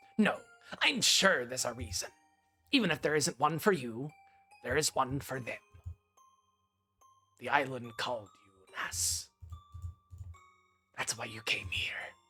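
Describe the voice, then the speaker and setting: A man puts on a character voice at a medium pitch and moderate pace, with long, frequent pauses and faint music in the background. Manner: reassuring.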